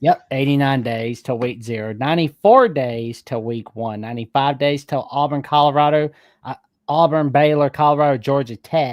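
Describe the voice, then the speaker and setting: Speaking in a Southern US accent at a moderate pace with ordinary pitch variation, the voice comes through a very clean recording with a silent background and a dry, close sound with no echo. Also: man, fairly high pitch for a man. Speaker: sports fan caller. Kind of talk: casual chat.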